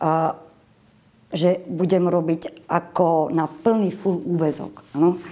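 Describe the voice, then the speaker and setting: Her fairly low voice moves at a very slow pace with ordinary pitch variation. The woman's loudness stays very even. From western Slovakia, Boleráz (Trnava region), Moravian mother. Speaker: social worker. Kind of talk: interview. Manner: animated.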